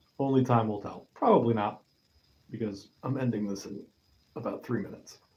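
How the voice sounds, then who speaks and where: Somewhat breathy and dark, mellow in tone, a man speaks at a moderate pace. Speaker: YouTuber. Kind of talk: live stream monologue.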